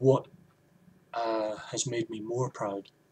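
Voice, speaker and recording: The speaker has a Scottish accent. The voice is somewhat breathy. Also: man. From Scotland. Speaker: video blogger. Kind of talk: opinion vlog monologue.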